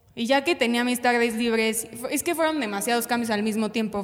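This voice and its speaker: There is noticeable background noise as a woman talks at a fairly high pitch. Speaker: former dancer, university student. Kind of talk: casual chat.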